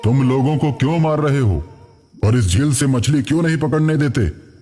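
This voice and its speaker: A man's cartoonish character voice, solemn in tone, medium in pitch, fairly quick, with very even loudness and ordinary pitch variation. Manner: solemn, authoritative.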